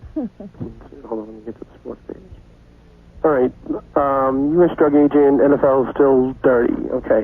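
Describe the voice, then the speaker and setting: In a New York accent, a man speaks at a fairly high pitch with fairly even intonation. His loudness swings widely, and he leaves long, frequent pauses. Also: moderate pace. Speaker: intern. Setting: phone call.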